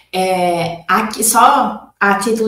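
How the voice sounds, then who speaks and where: A somewhat breathy woman speaks at medium pitch with a northeastern Brazilian accent. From Northeast Brazil, Maceió, Alagoas. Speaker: consciousness-tools facilitator. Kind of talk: interview.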